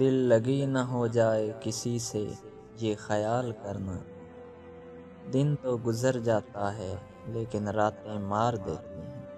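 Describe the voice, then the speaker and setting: With music playing in the background, a man speaks with ordinary pitch variation. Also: medium pitch for a man. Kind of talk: poetry reading.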